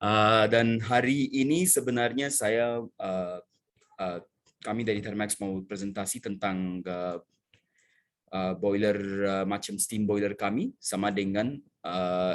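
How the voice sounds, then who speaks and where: A man with a non-native accent speaks at a very slow pace in a fairly low voice with fairly even intonation. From India. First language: not Indonesian (speaking Indonesian). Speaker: sales manager. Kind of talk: technical presentation. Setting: online seminar. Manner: halting, many fillers.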